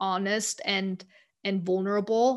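A woman talks in a German accent with monotone, flat intonation. The recording is very clean, with a silent background. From Germany, Munich. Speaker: account director and podcast host. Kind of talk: interview.

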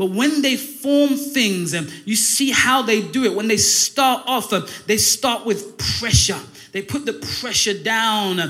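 Music plays in the background as a man speaks very slowly in a high, raised, projected voice with ordinary pitch variation. The room echo is audible. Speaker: pastor. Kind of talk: Pentecostal-style Sunday sermon, call-and-response exhortation. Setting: church service with congregation.

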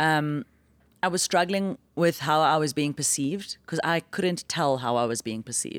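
Intonation is lively. The recording is very clean, with a silent background and a dry, close sound with no echo. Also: woman, very deep, low pitch for a woman, moderate pace. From South Africa. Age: 40s. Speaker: stand-up comic. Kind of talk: casual chat. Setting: studio.

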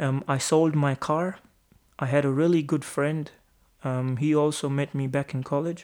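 A fairly high-pitched man with a Punjabi accent, flat and monotone at a moderate pace, on a very clean recording with a silent background. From India, Amritsar, Punjab. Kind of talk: personal monologue podcast.

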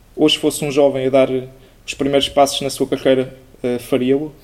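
Noticeable background noise sits under the recording. A man speaks at a fairly high pitch. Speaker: student podcast host. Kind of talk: interview.

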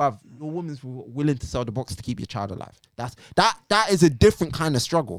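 Speaking with a London accent at a very fast pace, a man has a medium pitch and very wide pitch swings. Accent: London multicultural English. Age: 20s. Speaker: poet and music critic. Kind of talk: casual chat. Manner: animated.

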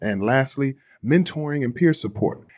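A man with an upbeat, animated tone at a fairly quick pace, on a very clean recording with a silent background. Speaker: former pro football player, charity staff. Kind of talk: casual chat.

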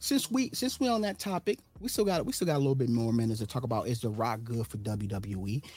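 A man's animated, very fast speech with hardly any pauses, on a very clean recording with a silent background. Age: 30s. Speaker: wrestling podcast co-host. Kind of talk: casual chat.

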